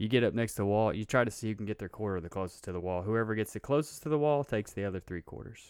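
A man with a fairly low pitch talks at a very fast pace with hardly any pauses over a quiet background. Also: ordinary pitch variation. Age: 30s. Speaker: podcast co-host. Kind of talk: casual chat.

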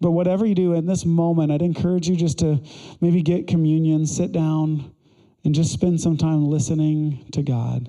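A man with a dark, mellow tone at a fairly high pitch, moderate pace, fairly even intonation and very even loudness. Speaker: pastor. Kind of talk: sermon; fervent prayer, led aloud to a congregation. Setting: church. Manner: earnest, conversational.

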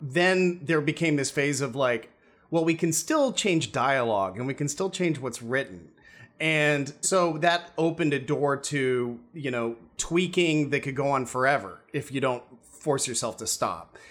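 This man has a plain, everyday voice with an American accent. His pitch is fairly high, with ordinary variation. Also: fairly slow pace, very clean recording, silent background. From US. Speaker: screenwriter and filmmaker.

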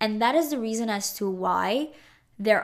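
Here a woman is speaking. Her pace is fairly slow. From Montreal, Canada. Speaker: podcast host. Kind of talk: solo monologue. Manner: hesitant, with many fillers.

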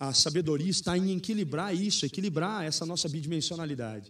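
Speaking very fast at a high pitch with ordinary pitch variation, a man comes through in a very clean recording with a silent background. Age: 30s. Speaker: pastor. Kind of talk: live-stream interview.

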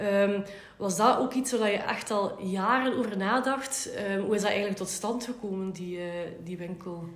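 Speaking at a moderate pace with ordinary pitch variation, a woman with a Flemish accent is heard amid noticeable background noise and audible room echo. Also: medium pitch for a woman. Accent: Flemish Dutch. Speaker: podcast host. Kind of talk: interview.

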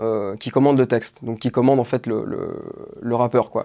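Against a quiet background, a man speaks with a dark, mellow tone and fairly even intonation. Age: 20s. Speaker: doctoral student in French literature and video maker. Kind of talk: interview. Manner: hesitant, many fillers and repetitions.

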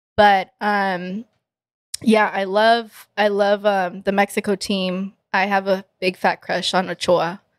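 A woman at medium pitch speaks very slowly in a flat monotone, recorded close and dry with no echo on a very clean, silent background. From Texas. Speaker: singer. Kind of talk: casual interview. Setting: studio.

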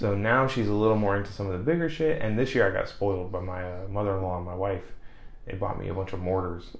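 A man's fairly low voice at a very fast pace, with ordinary pitch variation and audible room echo. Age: 20s. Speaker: podcast co-host. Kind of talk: casual chat. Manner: animated.

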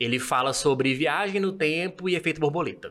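This man has an unremarkable speaking voice, fairly high in pitch, with ordinary pitch variation. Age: 30s. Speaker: civil servant, podcast guest. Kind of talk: casual chat.

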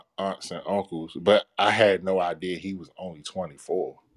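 At a moderate pace, a man speaks with a fairly low pitch in a dry, close sound without echo. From Washington DC area (Capitol Heights). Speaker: podcaster. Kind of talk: casual chat. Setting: video call.

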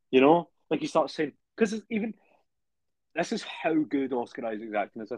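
Pausing long and often, a man with a British accent speaks at a fairly high pitch with very wide pitch swings, the sound dry and close with no echo. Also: moderate pace. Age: 20s. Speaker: podcast co-host. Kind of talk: casual chat.

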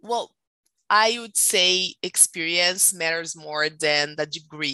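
A woman speaks in a Brazilian accent at a fairly low pitch. Her tone is bright and sharp, and the sound is dry and close with no echo. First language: Portuguese. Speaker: tech recruiter. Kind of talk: interview. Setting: live stream.

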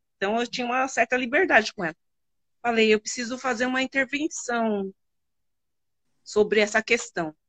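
Dry and close with no echo, a woman's high voice moves at a moderate pace with ordinary pitch variation and long, frequent pauses. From São Paulo, Brazil. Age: 40s. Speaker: math teacher. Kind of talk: casual interview. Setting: live stream.

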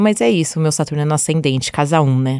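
At a moderate pace, a woman speaks with a very deep, low pitch against a quiet background. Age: 30s. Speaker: astrologer. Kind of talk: casual chat.

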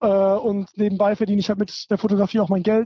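A man is speaking. His pitch is high. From Germany. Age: young. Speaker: photographer and filmmaker. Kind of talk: casual chat.

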